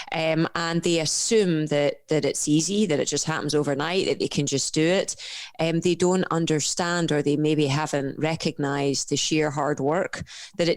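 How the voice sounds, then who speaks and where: This woman has a Scottish accent and a fairly low pitch, speaking at a moderate pace. Her loudness stays very even, and the recording is very clean with a silent background. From Scotland. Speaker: professional endurance athlete and coach. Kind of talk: podcast interview. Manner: animated.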